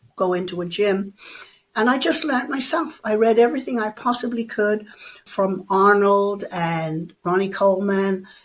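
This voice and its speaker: A woman with an Irish accent talks at a moderate pace and medium pitch. Her intonation is lively. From Ireland. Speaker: bodybuilder and personal trainer. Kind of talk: interview.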